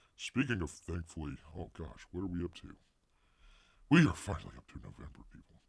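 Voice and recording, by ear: A raspy, put-on character voice moves at a fairly quick pace. Its pitch swings very widely. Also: man, very deep, low pitch for a man.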